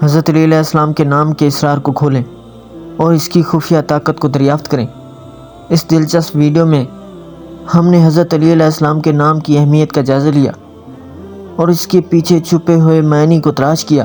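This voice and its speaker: Music plays in the background as the voice holds a flat, monotone intonation at a very even loudness. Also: man, fairly high pitch for a man. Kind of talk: Islamic religious narration.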